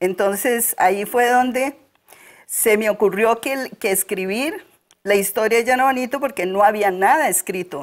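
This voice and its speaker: A woman at fairly high pitch with ordinary pitch variation, speaking at a fairly slow pace over a quiet background. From Costa Rica, Alajuela rural highlands. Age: 60s. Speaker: local author; interview guest. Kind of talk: interview. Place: studio. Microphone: lapel.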